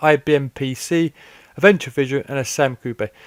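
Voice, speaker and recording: With a British accent and fairly even intonation, a man speaks at a moderate pace in a dry, close sound with no echo on a very clean recording with a silent background. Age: 30s. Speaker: gaming YouTuber. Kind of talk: casual commentary. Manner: halting, repeats words.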